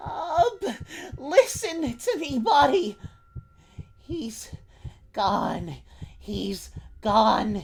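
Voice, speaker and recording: The lines come out extremely slowly in a put-on character voice. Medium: read story.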